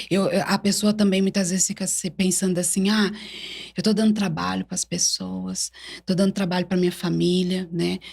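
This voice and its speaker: A woman's somewhat breathy voice at a moderate pace, with monotone, flat intonation. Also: medium pitch for a woman. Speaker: church evangelist. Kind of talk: interview testimony. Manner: halting.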